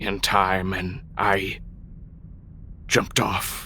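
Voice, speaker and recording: Against clear background noise, a man at a fairly low pitch does a put-on character voice with a solemn tone. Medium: actual play. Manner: terse, solemn.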